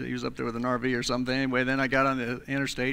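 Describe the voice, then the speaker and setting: A man's medium-pitched voice, bright and sharp in tone, at a very fast pace. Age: 60s. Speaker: pastor. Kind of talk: sermon. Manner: halting, many fillers and repeats.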